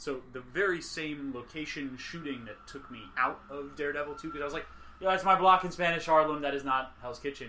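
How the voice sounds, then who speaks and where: A man with an American accent talks at a fairly quick pace and fairly high pitch, with ordinary pitch variation. His loudness swings widely, and there is audible room echo. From New York. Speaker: podcast host. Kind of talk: casual chat. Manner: animated.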